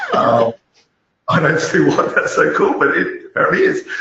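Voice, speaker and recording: A man talks in an Australian accent. He keeps a moderate pace. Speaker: malware analyst and YouTuber. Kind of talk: interview. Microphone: poor audio.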